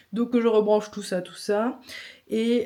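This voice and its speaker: A woman with a dark, mellow tone. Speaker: vlogger and photographer. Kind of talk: casual vlog.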